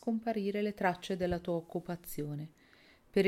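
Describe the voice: Plain reading aloud, with ordinary pitch variation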